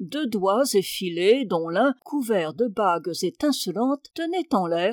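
Intonation stays lively throughout an unforced reading voice.

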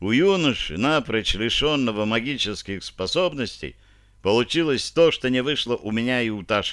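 Lively intonation runs through reading aloud in a natural voice.

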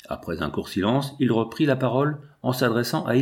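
Plain, read-aloud delivery

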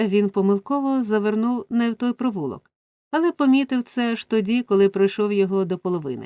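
Plain reading aloud with ordinary pitch variation plays over a quiet background.

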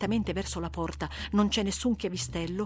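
Someone reads the text aloud in a plain way.

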